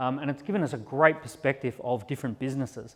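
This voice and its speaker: Speech in an Australian accent goes at a very fast pace with ordinary pitch variation. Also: man. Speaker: entrepreneur and keynote speaker. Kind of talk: conference keynote talk. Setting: stage at live industry event.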